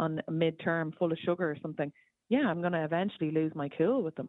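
Talking at a very fast pace, a woman with an Irish accent has a fairly low pitch. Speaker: caller. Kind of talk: call-in radio talk. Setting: phone call.

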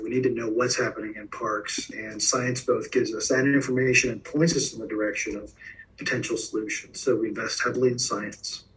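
A medium-pitched man with an American accent at a fairly quick pace, with big swings in loudness and noticeable background noise. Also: ordinary pitch variation. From US South, South Florida. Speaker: science communicator. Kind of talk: interview.

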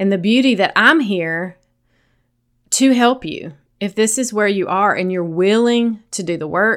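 A Southern US accent with lively intonation at a moderate pace, in a very clean recording with a silent background. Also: woman. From US South. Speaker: sobriety coach and podcast host. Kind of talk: solo podcast monologue. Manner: gentle, lighthearted.

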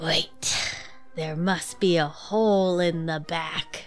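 A put-on, gravelly character voice at a middle pitch and a very slow pace, with music in the background. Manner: tough, badass.

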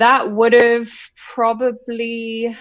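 This is a woman speaking. She has a British accent. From London, England. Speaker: business co-founder. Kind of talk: casual interview chat.

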